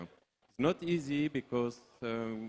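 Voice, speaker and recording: This man has a medium pitch. He talks with a French accent. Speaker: film producer. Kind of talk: panel discussion. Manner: halting.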